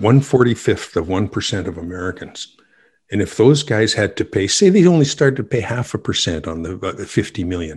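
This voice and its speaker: On a very clean recording with a silent background, a man with a Canadian accent talks at a fairly quick pace in a fairly low, somewhat breathy voice with lively intonation. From western Canada. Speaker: business owner, author and musician. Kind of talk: casual interview.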